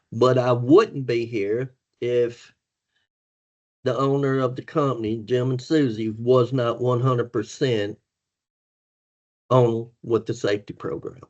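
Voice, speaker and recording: A man speaks fairly slowly at a medium pitch with fairly even intonation. He leaves long, frequent pauses. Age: 60s. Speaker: former truck driver turned safety manager. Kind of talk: podcast interview.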